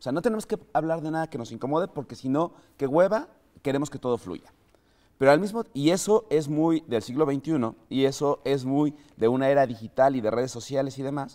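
Over a quiet background, a man with a dark, mellow tone and fairly high pitch speaks at a fairly quick pace with ordinary pitch variation. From Mexico. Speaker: podcast host. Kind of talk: casual chat; scripted narration. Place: studio.

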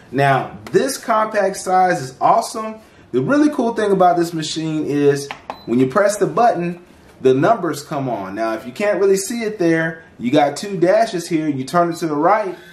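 The speech moves at a moderate pace. There is audible echo from the room. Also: man. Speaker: channel host reviewing products. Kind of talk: product review tutorial. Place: home room.

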